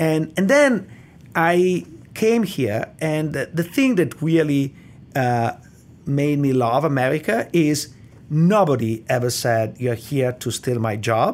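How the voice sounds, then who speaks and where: A man speaks very slowly with an Italian accent. His fairly high voice has lively intonation. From Italy. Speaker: economics professor. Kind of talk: interview.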